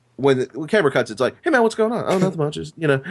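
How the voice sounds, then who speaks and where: The man's pitch swings very widely. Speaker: comedian. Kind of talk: casual chat. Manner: halting.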